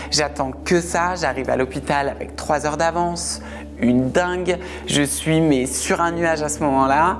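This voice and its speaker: Fairly slow speech from a woman, music in the background. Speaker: interviewee sharing personal story. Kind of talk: testimony. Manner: casual, conversational.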